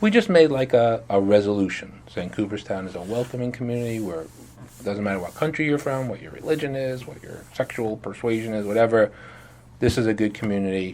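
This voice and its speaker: A man talks at a fairly quick pace with an American accent. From New York City (Brooklyn). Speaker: village mayor. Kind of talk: interview answers to a child. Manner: fast; casual, filler-heavy.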